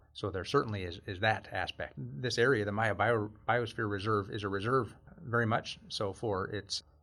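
Speaking at a moderate pace, a man has an ordinary speaking voice with a fairly low pitch. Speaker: geography professor, remote sensing researcher. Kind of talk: interview.

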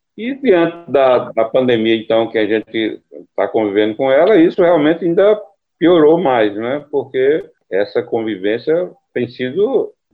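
A fairly high-pitched man talks at a fairly slow pace, his pitch swinging very widely. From Brazilian Northeast (Caruaru, Pernambuco; Campina Grande, Paraíba). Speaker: poet and book editor. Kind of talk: interview.

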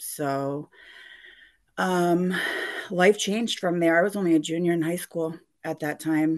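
A woman talks in an American accent with fairly even intonation and a fairly low pitch. She leaves long, frequent pauses. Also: fairly slow pace. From central Massachusetts (Gardner). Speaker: person in recovery sharing her addiction story. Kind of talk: testimony in interview. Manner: halting, many fillers.

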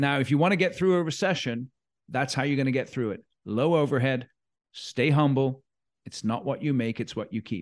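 Against a quiet background, a man with an American accent has a plain, everyday voice, pitched fairly high with ordinary variation. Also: moderate pace. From Sacramento, California. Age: 50s. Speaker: leadership advisor. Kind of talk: interview.

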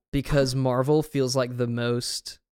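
An ordinary speaking voice with an American accent moves at a fairly slow pace with fairly even intonation. The recording is very clean, with a silent background and a dry, close sound with no echo. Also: man. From US South. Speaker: film podcast co-host. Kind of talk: casual chat.

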